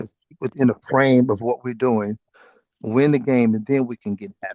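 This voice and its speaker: A man with a plain, everyday voice speaks at medium pitch and a moderate pace. His intonation is fairly even, but his loudness swings widely. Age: 60s. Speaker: former football player and coach. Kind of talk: interview.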